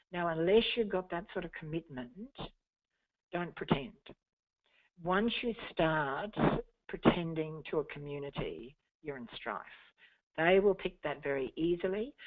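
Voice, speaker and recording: With an Australian accent, a woman talks at a fairly slow pace and fairly low pitch, with lively intonation, big swings in loudness, and long, frequent pauses. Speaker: community engagement consultant. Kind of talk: webinar presentation. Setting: webinar.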